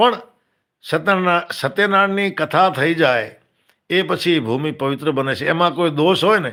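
On a very clean recording with a silent background, a man speaks in a high, bright, sharp voice with ordinary pitch variation. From Tharparkar, Pakistan (Sindh), moved to Kutch at 14-15. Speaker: devotional storyteller and live streamer. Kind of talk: devotional storytelling on a live stream.

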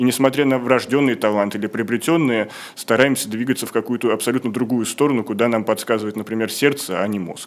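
The speech comes at a very fast pace. Pitch variation is ordinary. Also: man. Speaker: show host; program host. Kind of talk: interview. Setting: studio. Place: studio. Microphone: studio mic.

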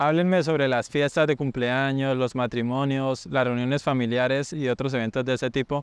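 A man with a Colombian accent speaks with hardly any pauses. His intonation is fairly even and his loudness very even. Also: medium pitch for a man, moderate pace. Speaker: Spanish teacher, street interviewer. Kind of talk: street interview questions and intro to camera.

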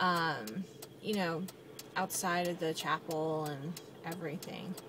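Slow, fairly evenly intoned speech from a woman with an American accent, in strong room echo.

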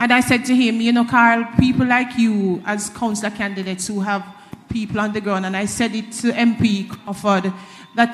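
A woman's monotone, flat intonation at a moderate pace. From Jamaica. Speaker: reform committee member; panel member. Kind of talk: panel discussion. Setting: hall with live audience. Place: hall. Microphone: handheld.

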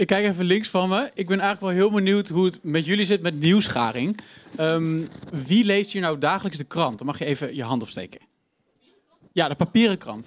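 Lively intonation marks this high-pitched man's speech. His pace is moderate. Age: 20s. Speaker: student presenter. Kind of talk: live interview. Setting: stage with audience. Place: studio. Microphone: handheld.

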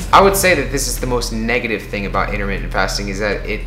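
Faint music plays in the background. The room echo is audible. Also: man. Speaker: fitness vlogger. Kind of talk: casual vlog chat. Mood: earnest, cautionary. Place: home room. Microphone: camera far.

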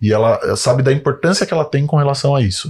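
Against a quiet background, a man speaks at a moderate pace and medium pitch in a somewhat breathy voice with ordinary pitch variation. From Brazil, São Bernardo do Campo (São Paulo area); São Paulo, Brazil. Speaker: physiotherapist and clinic owner; podcast guest. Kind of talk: casual interview. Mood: relaxed, storytelling. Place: studio. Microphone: studio mic.

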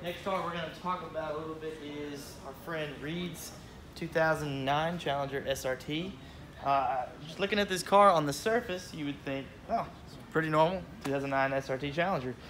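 Light background noise accompanies a man speaking at a moderate pace. His pitch varies in an ordinary way, and his loudness swings widely. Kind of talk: casual walkthrough tour. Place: garage. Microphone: phone near.

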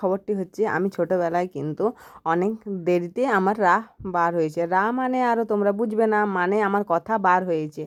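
A woman talks in a normal speaking voice at a medium pitch with ordinary pitch variation. The background is quiet. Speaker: vlogger. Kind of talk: casual vlog.

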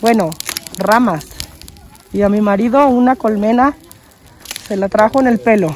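A woman speaks at a fairly slow pace and a fairly high pitch, with a slightly mellow tone, ordinary pitch variation, and long, frequent pauses.

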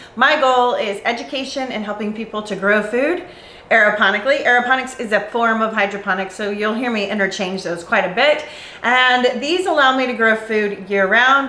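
A woman speaks with ordinary pitch variation in a room with audible echo. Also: moderate pace. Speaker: channel host. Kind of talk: tutorial. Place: garage.

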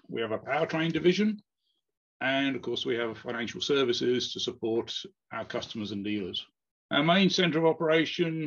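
A man at a fairly quick pace against a quiet background. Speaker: presenter. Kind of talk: conference presentation. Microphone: webcam.

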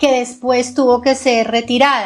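A woman's high-pitched voice, flat and monotone, at a moderate pace. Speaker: interviewer, co-host. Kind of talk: political interview. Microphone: video call.

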